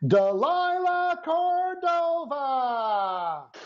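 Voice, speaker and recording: A put-on character voice speaks at a high pitch in an excited tone. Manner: loud, excited, booming.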